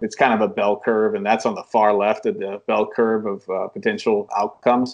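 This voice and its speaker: Noticeable background noise sits under fairly quick speech in an American accent. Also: man. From United States. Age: 30s. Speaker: bullion dealer. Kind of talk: interview answer.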